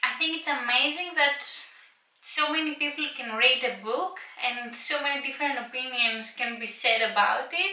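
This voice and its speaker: With a Greek accent, a woman projects a raised, high voice at a moderate pace with ordinary pitch variation. Noticeable background noise and audible room echo fill the recording. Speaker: book vlogger. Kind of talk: casual vlog talk to camera. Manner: some hesitations and filler words.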